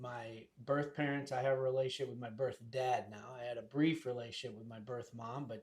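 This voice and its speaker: Somewhat breathy male speech at medium pitch, monotone and flat, with big swings in loudness and hardly any pauses. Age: 60s. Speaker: real estate agent. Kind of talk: casual chat.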